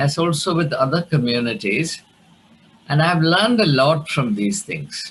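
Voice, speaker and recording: A somewhat breathy man's voice, fairly high in pitch, with a Keralan accent. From India, Kerala. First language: Malayalam. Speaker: theologian and academic. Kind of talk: lecture. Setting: video call. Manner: halting.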